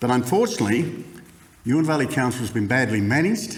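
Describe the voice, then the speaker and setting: A man with an Australian accent, audible room echo, and noticeable background noise. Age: 70s. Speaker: council candidate. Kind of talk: campaign speech. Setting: stage with audience.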